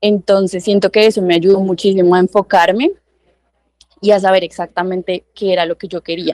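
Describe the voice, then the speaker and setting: In a dry, close sound with no echo, a woman speaks at a medium pitch and moderate pace with monotone, flat intonation. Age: 20s. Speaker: lawyer. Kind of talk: interview.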